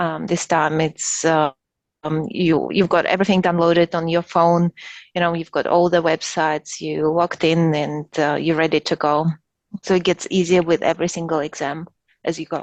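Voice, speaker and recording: A woman speaks with a non-native accent in a monotone, flat intonation. The sound is dry and close with no echo, over a quiet background. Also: fairly low pitch for a woman, moderate pace. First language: not English. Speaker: top-performing graduate of a professional diploma. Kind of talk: webinar Q&A. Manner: halting, many fillers.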